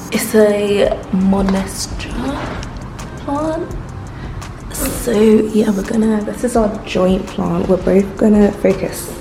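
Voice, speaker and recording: With music playing in the background and audible room echo, a woman in an English accent speaks very slowly at a medium pitch. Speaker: vlogger. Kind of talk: casual vlog talk. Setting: at home in new flat.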